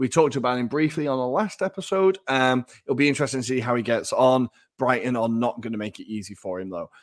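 A man with an English accent, medium in pitch and lively in intonation, at a very fast pace with hardly any pauses, on a very clean recording with a silent background. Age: 30s. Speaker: football podcast co-host. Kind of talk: casual chat.

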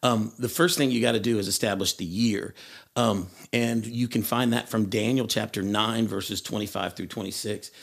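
A man talks at a moderate pace and medium pitch, with fairly even intonation. The recording is very clean, with a silent background. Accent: American. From US South, Tennessee. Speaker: schoolteacher. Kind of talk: bible study discussion.

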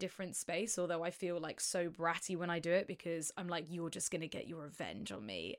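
At a moderate pace, a woman speaks in a normal speaking voice of medium pitch on a very clean recording with a silent background. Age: 30s. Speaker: podcast co-host. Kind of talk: casual chat.

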